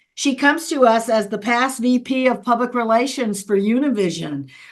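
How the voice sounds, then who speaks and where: A woman speaks in a high-pitched voice. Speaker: interview host. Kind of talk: interview question.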